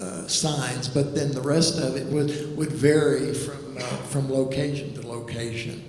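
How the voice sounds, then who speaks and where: At a fairly slow pace with hardly any pauses, the voice keeps a fairly even intonation, with audible room echo and noticeable background noise. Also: man, fairly high pitch for a man. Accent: American. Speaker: artist. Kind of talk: panel discussion. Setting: gallery talk with audience. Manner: halting.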